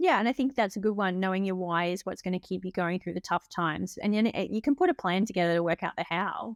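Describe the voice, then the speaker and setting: At a very fast pace with hardly any pauses, a woman speaks at a medium pitch with ordinary pitch variation on a very clean, dry, close recording with no echo and a silent background. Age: 40s. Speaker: entrepreneur. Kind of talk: interview chat.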